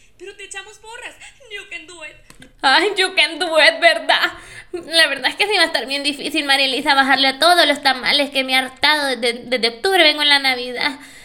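A raised, projected voice comes at a moderate pace with ordinary pitch variation. Its loudness swings widely over noticeable background noise. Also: woman, high pitch for a woman. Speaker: podcast host. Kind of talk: casual monologue. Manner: animated.

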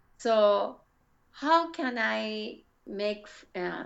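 A woman speaks at a medium pitch with a Japanese accent. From Japan, Kyoto (Kansai). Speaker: English learner. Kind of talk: casual chat. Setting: video call. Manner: halting.

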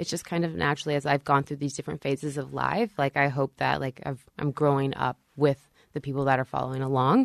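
A woman's very deep, low voice with vocal fry and an American accent, fairly even in intonation, at a very fast pace, in a dry, close sound with no echo. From US South, northeast Texas near Shreveport. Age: 30s. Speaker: fashion blogger and business owner. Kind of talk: casual interview chat.

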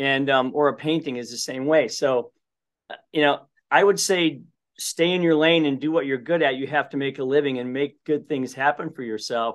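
His fairly high voice holds a fairly even intonation. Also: moderate pace. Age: 50s. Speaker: construction company CEO and author. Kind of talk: interview. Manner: halting with frequent repetitions.

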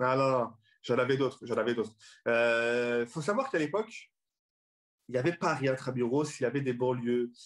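A man talks at a moderate pace in a medium pitch, with ordinary pitch variation and very even loudness. His speech has long, frequent pauses. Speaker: comedian and comedy club founder. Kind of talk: casual chat.

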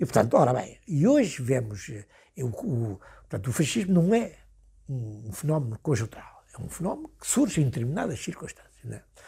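This man's voice is fairly high in pitch, somewhat breathy, and dark and mellow in tone. His pitch swings very widely and his loudness shifts in big swings. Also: moderate pace. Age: 80s+. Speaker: former political prisoner. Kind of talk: interview. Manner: halting.

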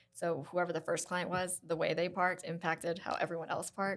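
Speaking at a very fast pace, a woman with an American accent has a fairly low pitch. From US South (South Carolina). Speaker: nail technician and salon co-founder. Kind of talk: casual chat.

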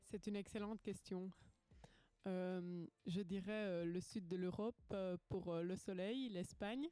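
Very slow and very even in loudness, the voice has a dark, mellow tone and fairly even intonation. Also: woman, medium pitch for a woman. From Belgium. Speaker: teacher. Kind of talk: casual chat.

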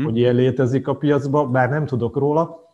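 Moderately paced, a man's somewhat breathy voice has a dark, mellow tone, medium pitch and fairly even intonation. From Hungary. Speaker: financial planner. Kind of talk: casual interview.

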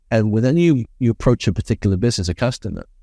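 Dry and close with no echo, a man's dark, mellow voice carries a British accent and lively intonation. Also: very clean recording, silent background. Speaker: business consultant and speaker. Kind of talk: interview.

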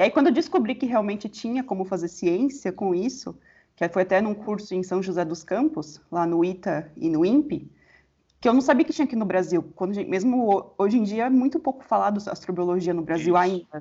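With lively intonation and a medium pitch, a woman talks at a fairly quick pace in an unremarkable speaking voice. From São Paulo, Brazil. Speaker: astronomy researcher. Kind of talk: interview.

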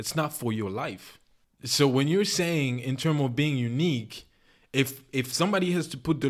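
A man with an ordinary speaking voice talks at a moderate pace with a medium pitch and ordinary pitch variation. The recording is very clean with a silent background. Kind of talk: heated debate. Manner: argumentative, sharp, pressing back hard, interrupting.

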